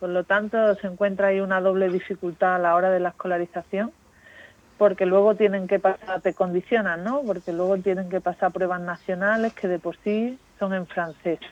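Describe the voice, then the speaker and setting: At a moderate pace, a woman speaks in a monotone, flat intonation at medium pitch, with a dry, close sound and no echo. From Spain, Málaga. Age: young. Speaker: aid worker at a children's home. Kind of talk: interview.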